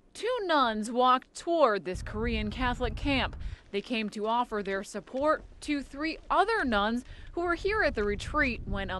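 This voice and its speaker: A woman with an American accent speaks fairly slowly at a high pitch, with very wide pitch swings. Noticeable background noise is present. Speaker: television news reporter and anchor. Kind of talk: TV news reporter package. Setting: on-location field reporting.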